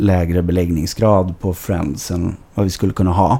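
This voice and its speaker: Noticeable background noise sits behind a man talking at a fairly slow pace in a very deep, low voice. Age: 20s. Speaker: football club board member. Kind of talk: podcast interview. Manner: hesitant, many fillers.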